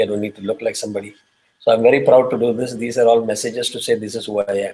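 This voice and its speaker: A man with an Indian accent, talking at a very fast pace. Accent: Indian accent, kept unchanged. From South India (Tamil). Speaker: spiritual teacher. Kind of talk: lecture. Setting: class with on-site and online students.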